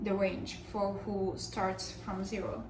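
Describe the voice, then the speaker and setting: A speaker with a non-native accent is heard with audible room echo and noticeable background noise. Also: woman. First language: not English. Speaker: vlogger. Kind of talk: casual chat. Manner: hesitant, with fillers.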